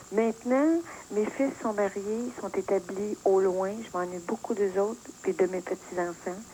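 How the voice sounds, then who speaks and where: This is a woman with a normal speaking voice at a medium pitch. She talks at a fairly slow pace with ordinary pitch variation. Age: 60s. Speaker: caller. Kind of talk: phone-in talk.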